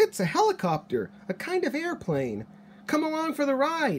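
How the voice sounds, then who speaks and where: A put-on character voice pitched high, with clear background noise behind it. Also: moderate pace. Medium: read story.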